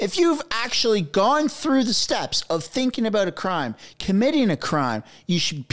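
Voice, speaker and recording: Over a quiet background, a man talks at a fairly quick pace. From Canada. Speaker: political commentary YouTuber. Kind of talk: casual commentary. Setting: home studio with microphone. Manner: animated. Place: home room. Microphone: studio mic.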